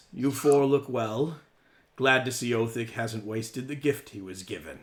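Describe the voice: In a put-on character voice, a man sounds husky, speaking at a moderate pace with a medium pitch and ordinary pitch variation.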